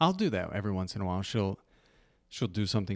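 A man's fairly low-pitched voice on a very clean recording with a silent background. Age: 30s. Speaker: podcast co-host and father. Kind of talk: casual chat.

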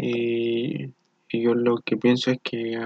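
This man's voice is at a medium pitch. He speaks with a flat, monotone intonation. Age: 20s. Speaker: engineering student. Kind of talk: motivational monologue.

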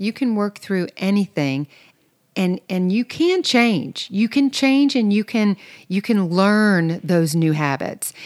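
A woman's medium-pitched voice at a moderate pace, lively in intonation, with a dry, close sound free of echo and a very clean recording over a silent background. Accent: Southern US. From US South. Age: 50s. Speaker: podcast co-host and interior designer. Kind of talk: casual chat.

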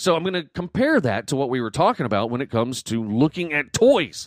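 The sound is dry and close with no echo, a very clean recording with a silent background. A man speaks at a moderate pace and medium pitch, his voice making very wide pitch swings. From US South, Southwest Georgia then North Carolina. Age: 40s. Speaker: podcast host. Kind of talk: casual chat.

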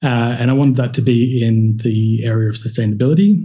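Amid audible room echo, a man with an Australian accent speaks at medium pitch in a flat monotone, his tone dark, mellow and somewhat breathy. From Central Queensland, Australia. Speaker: cultivated meat scientist. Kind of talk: interview.

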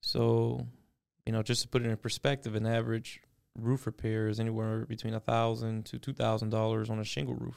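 A man with an American accent speaks at a medium pitch and a fairly quick pace, with fairly even intonation and an unremarkable speaking voice. The recording is very clean, with a silent background. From Miami, Florida. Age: 30s. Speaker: roofing company owner. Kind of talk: podcast interview. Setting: studio.

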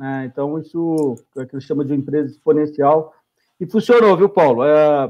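This man talks at a moderate pace with a fairly high pitch and ordinary pitch variation. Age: 50s. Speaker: startup founder and CEO. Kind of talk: interview. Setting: live stream. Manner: halting.

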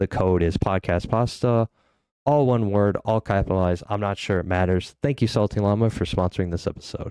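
A man's fairly low, dark, mellow voice at a fairly quick pace with ordinary pitch variation, in a dry, close sound with no echo over a quiet background. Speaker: podcast host. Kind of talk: casual interview. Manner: soft-spoken.

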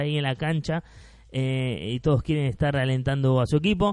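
The delivery goes at a moderate speed, the intonation staying fairly even. It is a plain, everyday voice. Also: man. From Argentina. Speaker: podcast host. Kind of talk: casual solo monologue.

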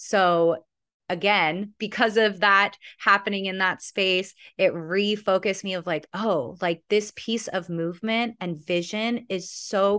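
Against a quiet background, a woman with an American accent talks at a fairly slow pace with medium pitch and ordinary pitch variation. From Southern California, Santa Monica. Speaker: dance and movement educator. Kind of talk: interview.

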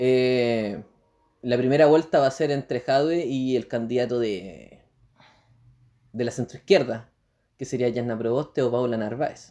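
A man with a Chilean accent, a dark, mellow tone, medium pitch and ordinary pitch variation, at a fairly slow pace with long, frequent pauses. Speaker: podcast co-host. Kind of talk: casual chat.

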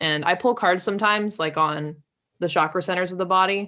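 A woman with an American accent over a quiet background, at a fairly quick pace with ordinary pitch variation. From Lake Tahoe, California. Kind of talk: casual interview chat.

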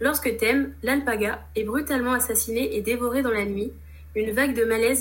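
With audible room echo, a woman talks at a moderate pace. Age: 20s. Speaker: manga enthusiast, Instagram creator. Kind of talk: interview. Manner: hesitant, many fillers.

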